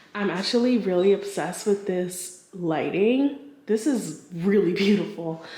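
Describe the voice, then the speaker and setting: A woman talks fairly slowly while noticeable background noise and audible room echo fill the recording. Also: medium pitch for a woman, ordinary pitch variation. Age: 30s. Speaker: lifestyle vlogger. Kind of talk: casual vlog. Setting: lofted rental apartment. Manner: whispering. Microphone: echo in the room.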